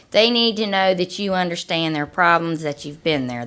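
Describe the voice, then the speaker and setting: The speaker talks fairly quickly with lively intonation and a slight Appalachian accent. The recording is very clean, with a silent background. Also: woman. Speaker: health program director. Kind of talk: panel discussion. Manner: animated.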